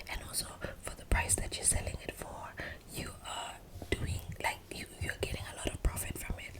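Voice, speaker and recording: A woman's relaxed whisper over noticeable background noise. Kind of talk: casual ASMR gossip to camera. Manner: whispered, relaxed.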